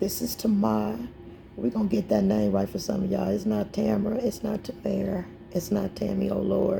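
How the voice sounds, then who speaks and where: A woman speaks with very even loudness. Noticeable background noise can be heard. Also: fairly quick pace. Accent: American. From Indianapolis, Indiana. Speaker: poet and mental health advocate. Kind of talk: casual chat.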